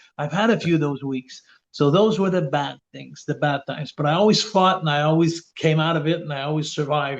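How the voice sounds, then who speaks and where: A man talks at a fairly quick pace in a Quebec accent. His pitch is fairly high, with ordinary pitch variation. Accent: Québécois French accent in English. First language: French. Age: 60s. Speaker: retired pro wrestler. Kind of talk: interview. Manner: animated.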